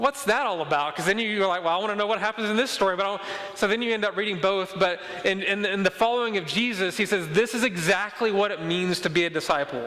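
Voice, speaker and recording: A man with a high pitch speaks very fast in a raised, projected voice, with ordinary pitch variation, over noticeable background noise. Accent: Mississippi. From Mississippi. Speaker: pastor. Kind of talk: sermon. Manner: repetitive stammering restarts.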